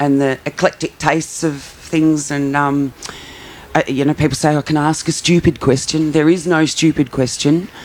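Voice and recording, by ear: At a moderate pace, a woman speaks low with a slightly mellow tone and fairly even intonation.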